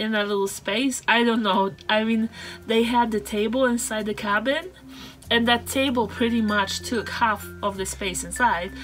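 A woman talks at a fairly slow pace, her intonation fairly even, with light background noise behind her. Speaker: travel vlogger. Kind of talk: casual vlog chat. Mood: cheerful, amused. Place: car. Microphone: phone near.

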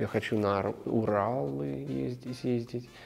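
A very slow-paced man with an American accent and ordinary pitch variation, faint music in the background. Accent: American accent in Russian. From Colorado, USA. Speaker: actor. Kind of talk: interview answer. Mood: warm, reflective. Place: studio. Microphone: lapel.

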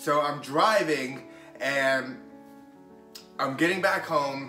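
A man speaks with ordinary pitch variation amid audible room echo and clear music in the background. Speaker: motivational vlogger. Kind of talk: casual vlog chat. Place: home room. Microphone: camera far.

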